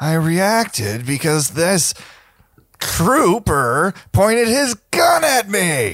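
A put-on character voice moves at a very slow pace. Its pitch swings very wide. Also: man, high pitch for a man. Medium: actual play.

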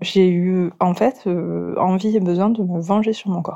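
Her voice has a dark, mellow tone at a medium pitch. The woman's intonation stays fairly even against a quiet background. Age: 40s. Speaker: mother giving testimony. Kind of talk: testimony. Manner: halting.

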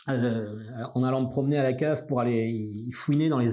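A man speaks over noticeable background noise. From Brittany, near Brest. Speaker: journalism school director and radio journalist. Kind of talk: interview. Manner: hesitant, many fillers and repetitions.

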